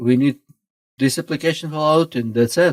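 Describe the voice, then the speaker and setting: The recording is very clean with a silent background. A man speaks in a Russian accent with ordinary pitch variation. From Russia (former Soviet Union). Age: 50s. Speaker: pastor. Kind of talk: podcast interview. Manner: halting, broken English.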